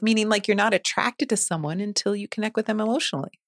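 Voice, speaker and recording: Speaking at a very fast pace in a dry, close recording with no echo, a woman with a fairly high pitch sounds animated, her intonation lively. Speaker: podcast co-host. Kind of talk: casual chat. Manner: animated, laughs often.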